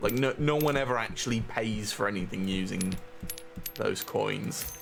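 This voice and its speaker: A man with a British accent talks at a fairly slow pace in a fairly low pitch, with ordinary pitch variation. Noticeable background noise and audible room echo fill the recording. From UK. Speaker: game streamer. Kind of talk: live stream chat while gaming. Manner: casual, halting with repetitions.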